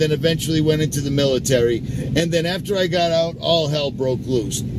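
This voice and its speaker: Fairly high male voice with ordinary pitch variation at a moderate pace, plus audible room echo and noticeable background noise. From Massachusetts, Lynn (Boston area). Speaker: YouTuber, military veteran. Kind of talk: casual vlog monologue.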